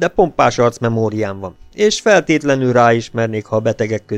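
Normal rises and falls in pitch mark an unforced reading voice.

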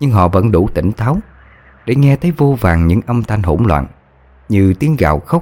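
The voice reads aloud in a natural way. Its intonation is lively.

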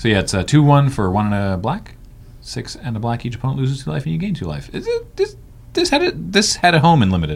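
A man speaks with a Canadian accent. His pace is very fast. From Western Canada. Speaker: podcast host. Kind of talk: casual chat.

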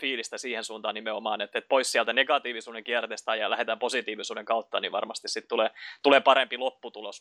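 Against a quiet background, a man talks very fast in a medium-pitched, bright, sharp voice with fairly even intonation. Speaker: podcast host. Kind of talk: interview.

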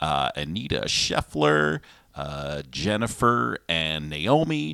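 A man's voice comes through dry and close with no echo. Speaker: host of a live-streamed music show. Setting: living room. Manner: talkative.

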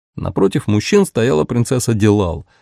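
The speaker reads plainly. It is simple reading aloud.

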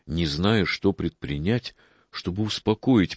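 Someone reads aloud. It is a natural reading voice.

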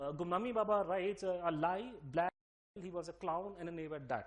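Here a man talks at a fairly quick pace with a high pitch. His pitch variation is ordinary. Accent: Delhi. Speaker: speaker giving a talk. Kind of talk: lecture.

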